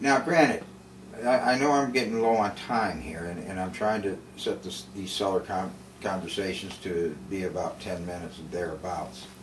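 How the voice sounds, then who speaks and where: A man's very deep, low voice with lively intonation, big swings in loudness and audible room echo. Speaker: video blogger living with MS. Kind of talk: casual monologue. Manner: halting, hesitant; slow, effortful.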